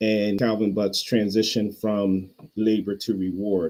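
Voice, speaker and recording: At a fairly slow pace, a man speaks with a fairly low pitch and a dark, mellow tone. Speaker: pastor and podcast host. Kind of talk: casual commentary monologue. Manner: halting, self-interrupting.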